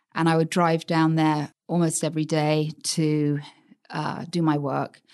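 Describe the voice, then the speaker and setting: Speaking at a very slow pace, a woman has a fairly low pitch. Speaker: grant-writing business owner. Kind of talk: interview. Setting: studio.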